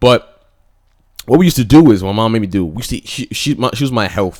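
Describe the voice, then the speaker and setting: Delivered at a very fast pace, the animated speech has very wide pitch swings on a very clean recording with a silent background. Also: man. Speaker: reaction youtuber. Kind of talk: casual commentary.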